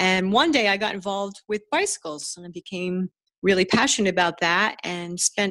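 Using a plain, everyday voice, a woman with an American accent speaks at a medium pitch and a moderate pace. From New Jersey. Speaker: dentist and hobby woodworker. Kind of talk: casual interview.

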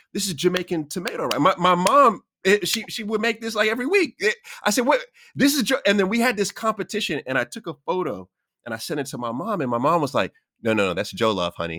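A man talks at a very fast clip in a high, bright, sharp voice with very wide pitch swings. His voice is raised and projected, and the sound is dry and close with no echo. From US Queens, New York. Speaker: podcast host. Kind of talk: casual interview.

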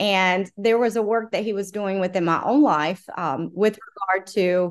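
A woman with an American accent in a normal speaking voice, medium pitch and ordinary pitch variation, at a fairly slow pace. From South Carolina. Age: 40s. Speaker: pro-life lobbyist. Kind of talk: interview conversation.

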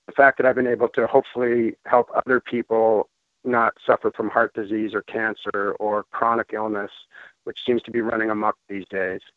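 A man's medium-pitched voice with an American accent, monotone and flat in intonation, at a moderate pace. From Colorado, US. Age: 50s. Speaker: ultramarathon runner sharing a product testimonial. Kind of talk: testimony.

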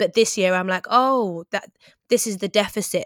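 Recorded very cleanly against a silent background, with a dry, close sound and no echo, a woman with an English accent speaks at a moderate pace and fairly even intonation. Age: 30s. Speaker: broadcaster and writer. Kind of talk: interview about grief.

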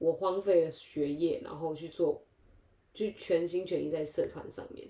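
A woman talks at a moderate pace. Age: 20s. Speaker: podcast co-host. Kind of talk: casual chat.

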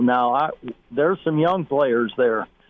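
Noticeable background noise sits behind a man speaking fairly slowly. His voice is fairly high, with ordinary pitch variation. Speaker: retired football coach. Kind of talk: sports radio interview.

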